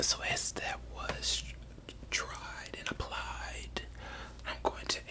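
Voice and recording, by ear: The speaker is whispering. The pace is slow.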